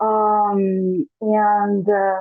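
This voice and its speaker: This is a woman speaking. She has a Portuguese accent. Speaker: webinar host. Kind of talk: live webinar introduction. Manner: halting.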